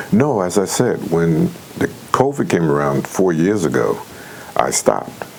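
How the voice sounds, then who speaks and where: A man with an American accent talks at a fairly slow pace, with long, frequent pauses and very even loudness. Noticeable background noise runs underneath. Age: 70s. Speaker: retired correctional officer and concert promoter. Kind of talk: interview. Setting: studio. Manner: hesitant, with many fillers.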